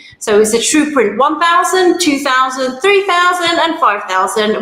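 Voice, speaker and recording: A woman with a London accent speaks in very wide pitch swings, with noticeable background noise and audible room echo. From London, England. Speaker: aerospace engineer and industry manager. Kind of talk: self-introduction at online networking event.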